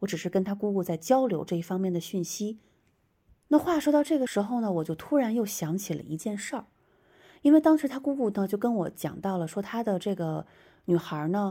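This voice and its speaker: A woman talks at a fairly quick pace in a medium pitch with very wide pitch swings and a dark, mellow tone, on a very clean recording with a silent background. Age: young. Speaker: podcast host and traditional shaman. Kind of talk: storytelling monologue. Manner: hesitant, many filler sounds.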